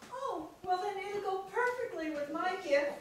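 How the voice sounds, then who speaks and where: A woman puts on a squeaky character voice at an extremely high pitch, speaking fairly slowly with a slight echo and clear background noise. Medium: stage play. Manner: polite, refined.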